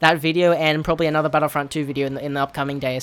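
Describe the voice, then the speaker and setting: A man speaks with a British accent. His pitch is fairly high. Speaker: gaming YouTuber and streamer. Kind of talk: casual video commentary. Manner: halting, stuttering.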